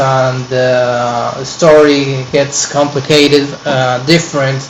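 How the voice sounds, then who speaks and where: Talking at a very slow pace, a man with a fairly high pitch keeps a monotone, flat intonation amid noticeable background noise and audible room echo. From Peru, Lima. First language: Spanish. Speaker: online course student. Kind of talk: personal presentation to camera. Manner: halting, many fillers.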